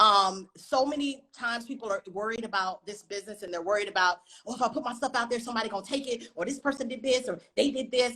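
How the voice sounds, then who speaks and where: A woman talks at a very fast pace with ordinary pitch variation. Her tone is animated. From US South, North Carolina. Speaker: writer and film director. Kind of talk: interview on a live stream. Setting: live online stream.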